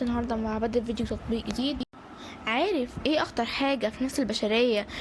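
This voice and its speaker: A woman with an Egyptian accent, a high pitch and ordinary pitch variation, over noticeable background noise. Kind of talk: casual app review to camera. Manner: light, joking, conversational.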